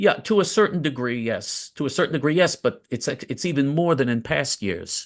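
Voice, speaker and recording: A man with an American accent and a plain, everyday voice talks at a fairly quick pace with lively intonation. The background is quiet. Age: 60s. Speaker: political commentator. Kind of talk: interview.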